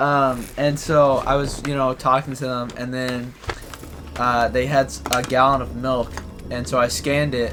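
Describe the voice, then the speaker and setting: A man's medium-pitched voice with fairly even intonation at a moderate pace, music in the background. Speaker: gaming video co-host. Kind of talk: casual chat. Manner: soft-spoken.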